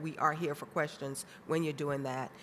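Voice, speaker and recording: A woman speaks with a very deep, low pitch. Her intonation is flat and monotone. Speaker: government program official. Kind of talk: conference presentation.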